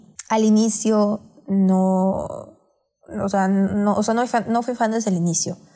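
A normal speaking voice, this woman's has a medium pitch and fairly even intonation. She talks at a fairly slow pace with very even loudness. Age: 20s. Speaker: podcast co-host. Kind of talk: casual chat.

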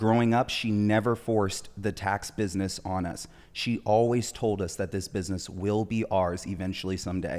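In an ordinary speaking voice, a man with an American accent talks at a moderate pace with fairly even intonation and hardly any pauses. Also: fairly low pitch for a man, very clean recording, silent background. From Southern California (Orange County). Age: 20s. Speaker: tax strategist. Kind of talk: interview.

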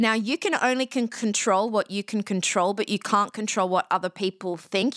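A woman with an Australian accent talks at a fairly quick pace, her medium pitch showing ordinary variation. The recording is very clean with a silent background and a dry, close sound free of echo. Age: 40s. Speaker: podcast talent agency CEO. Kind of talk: interview.

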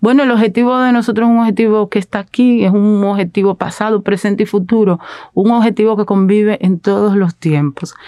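A woman talks at a fairly quick pace with a dark, mellow tone and very even loudness. The recording is very clean and dry, close-miked with no echo and a silent background. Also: medium pitch for a woman, fairly even intonation. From Dominican Republic, Herrera (Santo Domingo area). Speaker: journalist and activist. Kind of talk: interview. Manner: halting, many repetitions and fillers.

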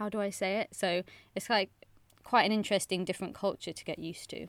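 In a very clean recording with a silent background, a woman with a West Country accent talks at a fairly quick pace with fairly even intonation. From England, Bristol. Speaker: journalist and podcaster. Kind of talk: casual chat.

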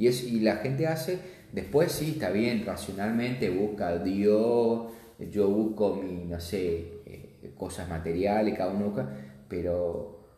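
The speech moves at a fairly slow pace with ordinary pitch variation. Audible room echo surrounds it. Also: man. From Misiones, Argentina. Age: 30s. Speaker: accountant. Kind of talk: interview. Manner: halting.

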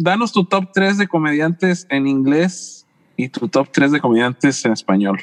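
The speech moves at a fairly slow pace with very wide pitch swings. The sound is dry and close, with no echo. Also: man, fairly high pitch for a man, very even loudness. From San Luis Potosí, Mexico. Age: 40s. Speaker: podcast co-host. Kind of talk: casual interview chat.

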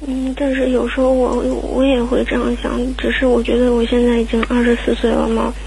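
Over noticeable background noise and audible room echo, a woman talks at a fairly quick pace with very even loudness. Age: 20s. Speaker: caller seeking relationship advice. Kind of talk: radio call-in. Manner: halting.

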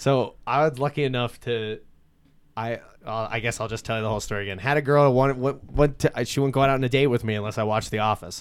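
A man with a Pennsylvania Coal Region accent at a very fast pace, intonation fairly even. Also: medium pitch for a man, very clean recording, silent background. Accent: Coal Region Pennsylvania, noticeable. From Coal Region, Pennsylvania. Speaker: local social media news page creator and festival organizer. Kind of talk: casual interview chat.

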